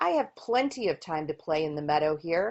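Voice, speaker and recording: Using a put-on character voice, a woman speaks at a moderate pace in a fairly low pitch. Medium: read story. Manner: smug, teasing.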